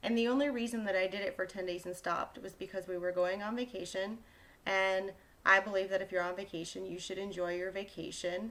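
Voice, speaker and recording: Fairly quick speech from a woman in a normal speaking voice, pitched medium. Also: fairly even intonation. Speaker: health coach vlogger. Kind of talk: casual vlog monologue.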